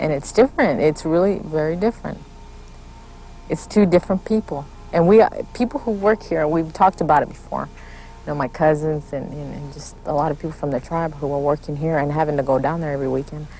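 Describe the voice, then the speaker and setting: Over music in the background, a woman talks very fast with an American accent. Her pitch is very deep and low, with ordinary variation and big swings in loudness. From Kickapoo community, Texas-Mexico border. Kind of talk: interview testimony.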